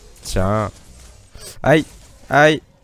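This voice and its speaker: Faint music plays in the background behind a man. The sound is dry, with no echo. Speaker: gaming youtuber; gamer streamer. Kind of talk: gameplay commentary. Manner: animated. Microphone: new microphone, no pop filter yet; headset.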